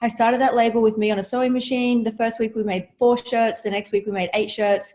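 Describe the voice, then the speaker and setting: A woman talks at a very fast pace with an Australian accent and fairly even intonation. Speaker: entrepreneur and reality TV star. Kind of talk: interview.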